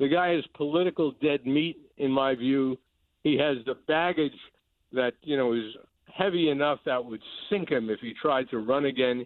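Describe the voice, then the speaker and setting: A man with an American accent speaks at a moderate pace in a fairly high pitch, with ordinary pitch variation and an ordinary speaking voice. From New York City, the Bronx. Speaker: political journalist. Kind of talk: interview.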